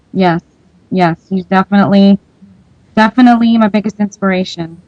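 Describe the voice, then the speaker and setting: Fairly quick and fairly even in intonation, a woman speaks in an unremarkable speaking voice at a medium pitch, with a dry, close sound and no echo. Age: 20s. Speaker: independent singer-songwriter. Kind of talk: radio interview. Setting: radio show.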